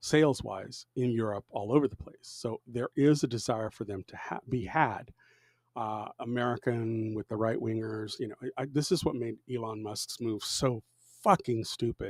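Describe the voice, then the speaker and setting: Here a man uses a normal speaking voice at medium pitch and a fairly slow pace, with ordinary pitch variation and a dry, close sound with no echo. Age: 60s. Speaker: live streamer. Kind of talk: casual live stream commentary. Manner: casual, with many filler words.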